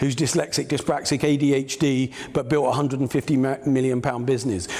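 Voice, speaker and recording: Fairly quick, fairly high-pitched male speech with ordinary pitch variation amid noticeable background noise. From England, Peterborough. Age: 60s. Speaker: business mentor. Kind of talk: keynote speech. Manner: conversational, hesitant fillers.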